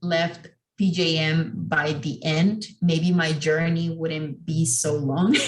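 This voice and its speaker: A woman speaks with a non-native accent. There is audible echo in the room. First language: not English. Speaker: architecture exam panelist. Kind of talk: panel discussion.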